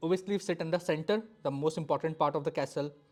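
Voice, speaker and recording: The speech has an Indian accent and a fairly quick pace. The recording is very clean, with a silent background. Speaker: chess teacher. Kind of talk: lecture. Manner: fast.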